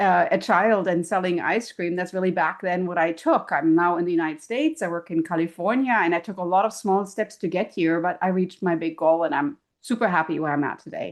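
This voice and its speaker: In a German accent, a woman speaks at a fairly quick pace against a quiet background. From Germany. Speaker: professor and keynote speaker. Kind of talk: podcast interview. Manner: animated.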